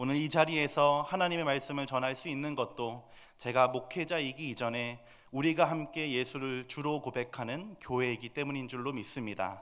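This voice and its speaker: At a moderate speed, a man talks in a fairly high pitch that varies in an ordinary way. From Seoul, South Korea. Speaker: pastor. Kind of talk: sermon. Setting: church.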